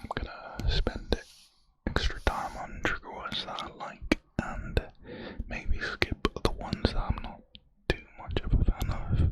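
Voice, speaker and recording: Someone whispers at a fairly slow pace, with long, frequent pauses. Background noise is noticeable. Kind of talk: ASMR trigger words. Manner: whispered; slow, repetitive.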